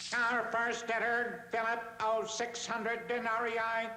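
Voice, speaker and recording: A cartoonish character voice, raised and projected, goes at a moderate pace over noticeable background noise. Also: man, extremely high pitch for a man. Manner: formal, announcing.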